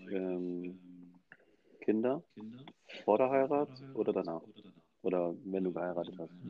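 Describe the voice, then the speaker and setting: Lively intonation marks a man's very deep, low voice, broken by long, frequent pauses. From Hamburg, Germany. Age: 30s. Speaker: podcast co-host. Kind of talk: casual chat. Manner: halting, many repetitions.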